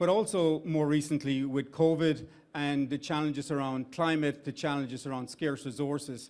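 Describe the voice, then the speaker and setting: A man with an Irish accent speaks at a moderate pace in a fairly high voice with fairly even intonation, in a very clean recording with a silent background. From Ireland. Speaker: startup investment executive. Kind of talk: event speech. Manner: halting.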